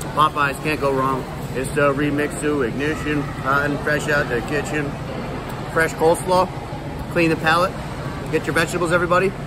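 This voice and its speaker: Noticeable background noise and a man talking fairly quickly. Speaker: food vlogger. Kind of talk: casual vlog chat. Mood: playful, relaxed. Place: hall. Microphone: phone near.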